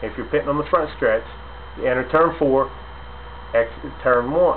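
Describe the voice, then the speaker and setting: Light background noise is present. The speaker is a man. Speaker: racing fan commentator. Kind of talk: casual vlog commentary. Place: home room. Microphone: webcam.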